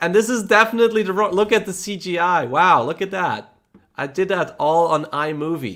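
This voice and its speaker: A man speaks at a moderate pace in a Polish accent, his pitch high for a man. His intonation is lively and his tone bright and sharp. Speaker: electric unicycle YouTuber. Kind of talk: casual livestream chat. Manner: casual, halting.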